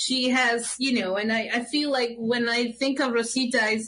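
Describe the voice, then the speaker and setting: With a Mexican accent, a woman speaks in fairly even intonation. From Mexico City, Mexico. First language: Spanish. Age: 50s. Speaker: puppeteer. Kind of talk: casual interview. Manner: halting.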